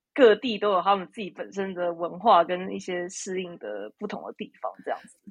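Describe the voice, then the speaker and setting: A woman's medium-pitched voice with vocal fry, big swings in loudness, ordinary pitch variation and a moderate pace. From Taiwan. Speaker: psychotherapist. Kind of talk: interview. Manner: halting, many fillers.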